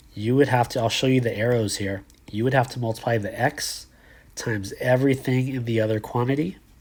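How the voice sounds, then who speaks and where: Somewhat breathy and fairly even in intonation, a man talks at a fairly quick pace and medium pitch. The recording is very clean, with a silent background. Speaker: math teacher. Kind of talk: tutorial.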